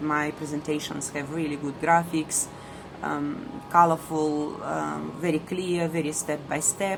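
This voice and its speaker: A woman with a strong non-native accent speaks at a fairly slow pace in a very deep, low pitch, with noticeable background noise. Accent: strong foreign. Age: middle-aged. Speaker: ESL teacher. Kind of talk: personal vlog monologue. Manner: hesitant with many fillers.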